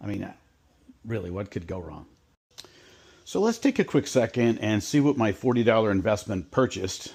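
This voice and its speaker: With an ordinary speaking voice, a man talks at a fairly quick pace and medium pitch, his intonation lively against a quiet background. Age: 60s. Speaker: DIY hobbyist video host. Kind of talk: casual tutorial vlog. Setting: home workshop. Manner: relaxed, conversational with fillers.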